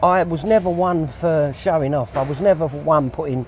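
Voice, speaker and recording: A man with a fairly high pitch speaks with lively intonation. There is noticeable background noise. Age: 60s. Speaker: hod carrier. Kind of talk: casual interview.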